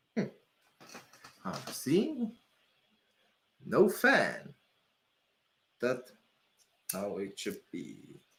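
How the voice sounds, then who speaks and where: The speech moves at a very slow pace. Long, frequent pauses break it up. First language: not English. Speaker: PC building streamer. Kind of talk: casual live-stream commentary while building a PC.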